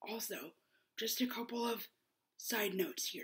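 A woman talks at a fairly slow pace in a somewhat breathy voice. The background is quiet. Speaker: vlogger. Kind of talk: casual vlog outro. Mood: warm, upbeat. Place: home room. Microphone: webcam.

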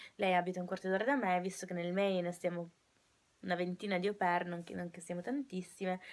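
The woman speaks with fairly even intonation. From Italy, Turin; Italy. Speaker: au pair vlogger. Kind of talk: casual vlog monologue. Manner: halting, many fillers and restarts. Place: home room. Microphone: webcam.

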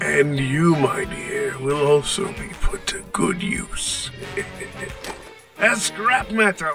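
A man's put-on character voice, high-pitched and very slow, with clear music in the background. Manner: menacing, contemptuous.

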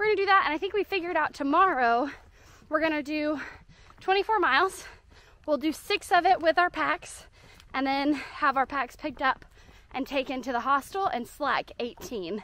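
A woman with a bright, sharp tone projects a raised voice with lively intonation, leaving long, frequent pauses in a dry recording with no echo. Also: moderate pace. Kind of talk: casual vlog chat. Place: forest. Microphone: phone near.

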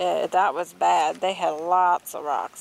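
A woman speaks slowly in a fairly low voice with vocal fry and fairly even intonation.

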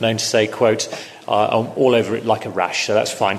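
Over light background noise, a man talks in a monotone, flat intonation. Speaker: panel moderator. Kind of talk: panel introduction. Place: hall.

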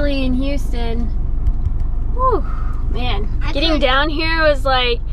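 A woman at a fairly slow pace, with noticeable background noise and a dry sound with no echo. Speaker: travel vlogger. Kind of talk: casual vlog chat. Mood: playful, a bit stressed. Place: car. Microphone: phone near.

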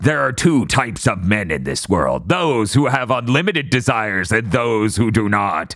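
Putting on a character voice with a pompous tone, a man talks at a moderate pace and medium pitch with hardly any pauses. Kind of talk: theatrical pirate. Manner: grandiose, pompous.

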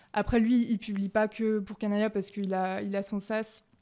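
A woman speaks at a fairly slow pace at medium pitch, her dark, mellow tone held in a monotone, flat intonation. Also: quiet background. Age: 20s. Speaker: startup founder; guest. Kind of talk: casual interview. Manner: hesitant, many fillers. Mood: relaxed, conversational. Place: home room. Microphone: studio mic.

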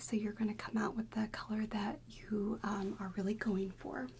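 A soft-spoken woman talks in a gentle tone with fairly even intonation. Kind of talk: soft-spoken roleplay. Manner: soft, gentle ASMR speaking voice. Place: home room.

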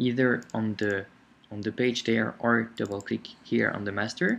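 At a moderate pace, a man with a non-native accent speaks at medium pitch. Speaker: software tutorial instructor. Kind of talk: screencast tutorial narration. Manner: casual, hesitant.

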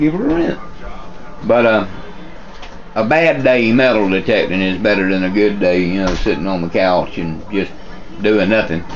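Faint music plays in the background as a man with a fairly low pitch speaks at a moderate pace with lively intonation, leaving long, frequent pauses. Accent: Southern US. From US South. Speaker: metal detecting vlogger. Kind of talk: casual vlog talk. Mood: relaxed, upbeat. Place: kitchen.

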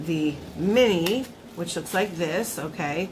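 Noticeable background noise sits behind a woman with a fairly low pitch. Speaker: beauty vlogger. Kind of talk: product review vlog chat. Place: home room. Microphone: phone near.

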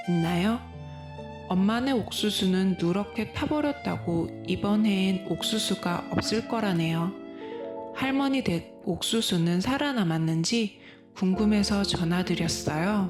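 With a gentle, calm tone and lively intonation, a woman speaks at a very slow pace and very even loudness. Her pitch is medium, and music plays in the background. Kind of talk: personal story reading, healing essay.

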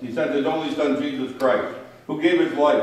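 The speech moves at a fairly quick pace with ordinary pitch variation and strong room echo. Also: man. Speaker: pastor leading worship. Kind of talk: liturgical reading. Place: church.

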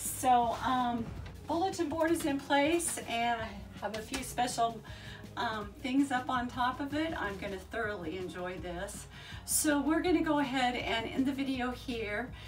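Fairly slow speech from a high-pitched woman, with clear music in the background. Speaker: bus conversion vlogger. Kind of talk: casual vlog chat. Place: home room.

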